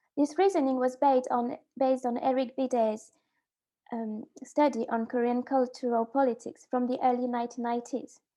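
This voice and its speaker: A woman's high, dark and mellow voice with fairly even intonation at a moderate pace. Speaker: graduate student researcher. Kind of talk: conference presentation. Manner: halting.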